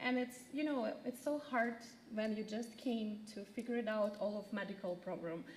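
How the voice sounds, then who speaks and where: A woman with a fairly high-pitched voice speaks over noticeable background noise. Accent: Ukrainian. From Ukraine. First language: Ukrainian. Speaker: refugee resettlement caseworker. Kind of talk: community presentation. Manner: halting, many fillers.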